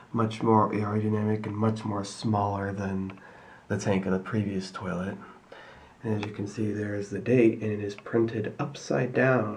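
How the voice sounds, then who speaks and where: Against noticeable background noise, a man speaks at a moderate pace in a fairly low pitch with fairly even intonation. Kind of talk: casual talk to camera.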